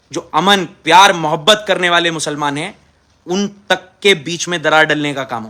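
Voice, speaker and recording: A man speaks in a raised, projected voice with a bright, sharp tone. The recording is very clean, with a silent background. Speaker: politician. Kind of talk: impassioned video statement. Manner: aggressive, forceful.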